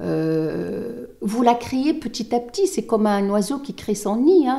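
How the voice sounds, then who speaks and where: Very wide pitch swings mark this woman's delivery at a very slow pace. The recording is very clean, the background silent. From Tunisia. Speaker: lawyer. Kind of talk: interview. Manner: halting.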